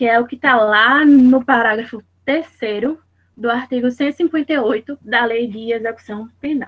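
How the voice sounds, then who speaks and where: This woman's high-pitched voice moves at a moderate pace with fairly even intonation, and the sound is dry and close with no echo. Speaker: law student presenting in class. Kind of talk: class presentation.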